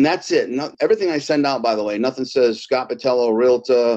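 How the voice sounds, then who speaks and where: A man's normal speaking voice in an American accent, at medium pitch and a fairly quick pace, with ordinary pitch variation. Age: 50s. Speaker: real estate team leader. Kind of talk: interview.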